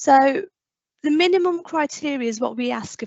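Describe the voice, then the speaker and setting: A woman speaks with ordinary pitch variation. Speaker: fire service safety officer. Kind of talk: conference presentation. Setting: online conference. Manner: fast.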